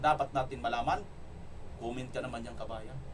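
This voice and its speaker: A man's energetic tone laced with vocal fry. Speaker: political commentary vlogger. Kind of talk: political commentary vlog with comment reading. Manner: loud, energetic. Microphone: no microphone, voice quieter.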